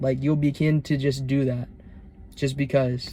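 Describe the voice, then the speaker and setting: With a dark, mellow tone, a man speaks at a fairly high pitch, somewhat breathy and with fairly even intonation. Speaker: self-improvement vlogger. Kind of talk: casual monologue vlog.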